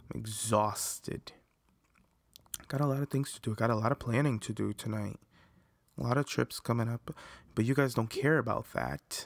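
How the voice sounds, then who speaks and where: Using a put-on character voice, a man with a raspy medium pitch talks at a moderate pace with long, frequent pauses, in a very clean recording with a silent background and a dry, close sound with no echo. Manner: weary.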